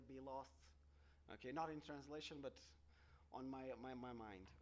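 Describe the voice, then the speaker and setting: A man with a fairly high pitch and a Portuguese accent. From Portugal. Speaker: researcher. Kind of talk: conference talk. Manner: halting.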